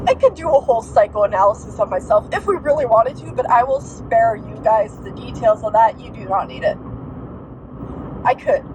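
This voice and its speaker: A woman talks at a fairly quick pace, her loudness swinging widely. Noticeable background noise is present. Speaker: diamond painting and book vlogger. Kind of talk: casual vlog monologue. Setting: in a car, driving. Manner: soft-spoken; rambling, hesitant.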